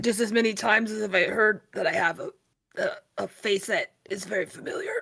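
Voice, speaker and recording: Raspy and fairly high in pitch, a put-on character voice rattles along at a fairly quick pace. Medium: actual play.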